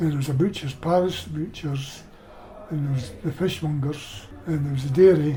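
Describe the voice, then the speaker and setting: A man speaks at a moderate pace with fairly high pitch and ordinary pitch variation. Music plays in the background, and there is audible room echo. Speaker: oral history interviewee. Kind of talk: casual reminiscence interview. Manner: halting.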